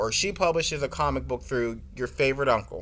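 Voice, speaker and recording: Fairly quick speech from a man, very cleanly recorded over a silent background. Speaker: online course instructor. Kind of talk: tutorial. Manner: fast; animated.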